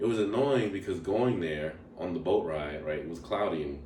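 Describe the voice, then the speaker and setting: Audible room echo surrounds a man who speaks at a moderate pace with ordinary pitch variation. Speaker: travel vlogger. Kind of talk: casual travel review monologue. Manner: casual, filler-heavy.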